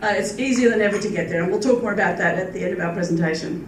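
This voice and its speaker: Amid noticeable background noise and audible room echo, a woman with an American accent speaks at medium pitch with ordinary pitch variation. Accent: Australian with slight California twang. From Australia. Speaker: travel industry presenter. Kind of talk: conference presentation. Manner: animated.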